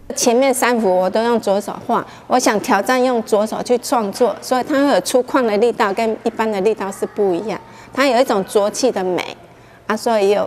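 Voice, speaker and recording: Over light background noise, a woman with a fairly high pitch speaks at a moderate pace with fairly even intonation. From Taiwan, Nantou; Taiwan. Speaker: ink painter. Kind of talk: news interview soundbite. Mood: warm, reflective about father. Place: hall.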